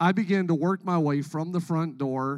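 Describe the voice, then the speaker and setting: A man talks at a fairly slow pace with fairly even intonation in an unremarkable speaking voice. The recording is very clean, with a silent background. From Canada. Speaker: pastor. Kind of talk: sermon. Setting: church stage with congregation.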